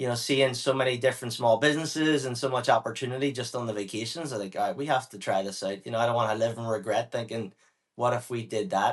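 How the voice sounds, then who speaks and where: A man speaks very fast with a Northern Irish accent. His medium pitch varies in an ordinary way against a quiet background. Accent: Northern Irish (Belfast). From Northern Ireland, Belfast. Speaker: business owner. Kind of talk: interview. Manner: casual.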